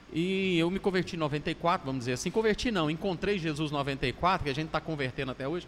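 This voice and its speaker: Here is an unremarkable speaking voice: a man with a fairly high pitch and ordinary pitch variation who speaks with hardly any pauses. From Minas Gerais, Brazil. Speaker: pastor. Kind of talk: casual chat.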